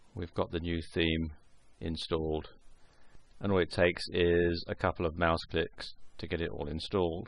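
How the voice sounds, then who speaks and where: A man with a very deep, low pitch speaks at a moderate pace in a monotone, flat intonation, with long, frequent pauses. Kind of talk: screencast software tutorial narration.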